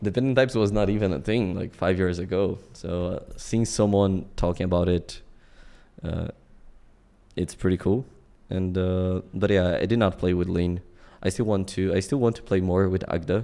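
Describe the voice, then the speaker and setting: With a Portuguese accent, a man speaks at a moderate pace in a very deep, low voice with a dark, mellow tone and fairly even intonation. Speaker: self-taught programmer and streamer. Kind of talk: casual interview chat. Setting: remote call.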